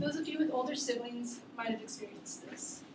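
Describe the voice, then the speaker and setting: The pitch moves in an ordinary way. Background noise is noticeable. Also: woman. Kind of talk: prepared class speech. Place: classroom. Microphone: camera far.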